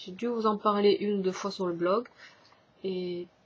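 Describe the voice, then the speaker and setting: Her voice is somewhat breathy, with ordinary pitch variation. The woman speaks at a fairly slow pace. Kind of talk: casual vlog talk to camera.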